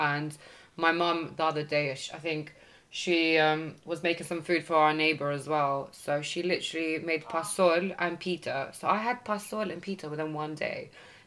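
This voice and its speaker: A woman's fairly low-pitched voice in a British accent, with fairly even intonation at a moderate pace. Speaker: podcast host. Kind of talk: casual chat.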